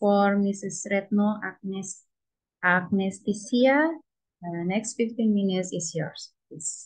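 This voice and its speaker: A woman with an Indonesian accent speaks very slowly in a somewhat breathy voice. Her pitch varies in an ordinary way against a quiet background. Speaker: session moderator. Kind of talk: conference moderation. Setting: video call. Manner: hesitant, many fillers.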